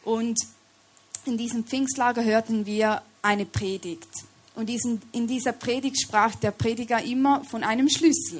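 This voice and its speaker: In a Swiss German accent, a woman talks at a fairly slow pace with a fairly high pitch. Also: ordinary pitch variation. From Switzerland. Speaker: lay preacher. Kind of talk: sermon.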